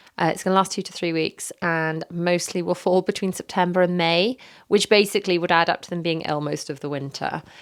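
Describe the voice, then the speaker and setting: A woman with a British accent speaks very fast in a fairly low pitch with fairly even intonation, on a very clean recording with a silent background. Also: big swings in loudness. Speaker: parenting podcaster. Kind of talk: casual podcast monologue. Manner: hesitant, many fillers.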